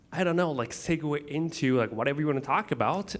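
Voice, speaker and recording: This man talks with a Japanese accent. His pitch varies in an ordinary way. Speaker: airline pilot, panelist. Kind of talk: panel discussion. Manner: halting, many fillers.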